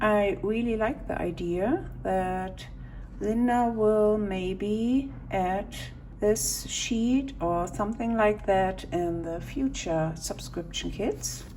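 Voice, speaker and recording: A woman with a non-native accent at a medium pitch, very slow pace and ordinary pitch variation, with audible room echo. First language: not English. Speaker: stationery YouTuber. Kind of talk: unboxing video. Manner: halting.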